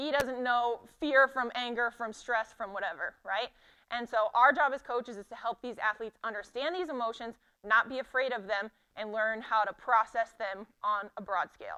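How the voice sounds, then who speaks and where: A woman speaks in a bright, sharp tone with ordinary pitch variation against a quiet background. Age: 20s. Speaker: sport psychology presenter. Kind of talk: conference lecture. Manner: fast.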